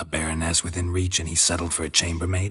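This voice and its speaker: A man puts on a character voice with a very deep, low pitch, talking very fast in a flat monotone. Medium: video game. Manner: deadpan, terse.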